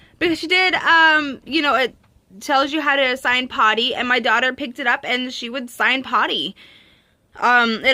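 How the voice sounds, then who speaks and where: A woman speaks at a fairly quick pace in a raised, projected voice with a high pitch and ordinary pitch variation. Her tone is animated, bright and sharp. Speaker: parenting vlogger, mother of three. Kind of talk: casual vlog talk to camera. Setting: handheld camera at home in the countryside. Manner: fast; animated, many fillers.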